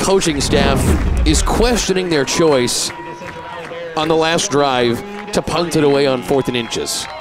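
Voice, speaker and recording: Speech comes at a fairly slow pace with ordinary pitch variation and long, frequent pauses. The sound is dry with no echo, and there is noticeable background noise. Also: man, fairly high pitch for a man. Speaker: color commentator. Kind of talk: sports analysis commentary; sports commentary. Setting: broadcast booth at a stadium. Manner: analytical, conversational. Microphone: headset.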